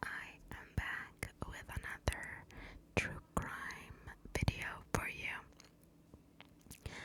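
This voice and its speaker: Whispering at a very slow pace, a woman shows big swings in loudness amid noticeable background noise. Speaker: ASMR true crime storyteller. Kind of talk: whispered true crime storytelling. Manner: whispered, soft.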